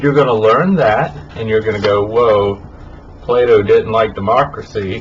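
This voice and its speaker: There is audible room echo and noticeable background noise around this man. He talks at a fairly slow pace with medium pitch and ordinary pitch variation. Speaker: college teacher. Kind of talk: recorded lecture. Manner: casual, informal. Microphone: poor audio quality in this recording.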